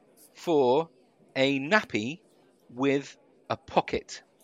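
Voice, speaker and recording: The recording is dry and close with no echo over a quiet background, as a man with a fairly high pitch speaks at a very slow pace. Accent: British. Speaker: podcast co-host, former radio broadcaster. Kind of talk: casual chat.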